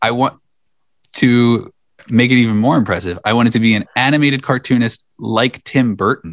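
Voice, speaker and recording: In a dry, close sound with no echo, a man with a plain, everyday voice speaks at a moderate pace with medium pitch and ordinary pitch variation. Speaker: podcast host. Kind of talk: casual chat.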